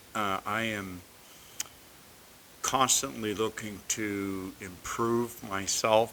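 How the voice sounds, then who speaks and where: A man's fairly low voice, with fairly even intonation and a very slow pace. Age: 50s. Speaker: video creator. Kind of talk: casual monologue. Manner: halting, many fillers.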